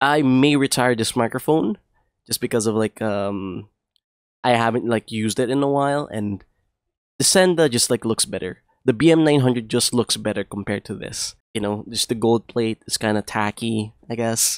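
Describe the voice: Moderate pace, ordinary pitch variation and a clear, smooth tone. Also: man, medium pitch for a man.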